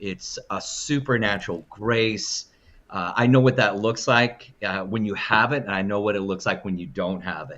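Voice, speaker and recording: The speech moves at a moderate pace. Its pitch varies in an ordinary way. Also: man, fairly low pitch for a man. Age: 60s. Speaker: minister. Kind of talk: interview conversation. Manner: halting.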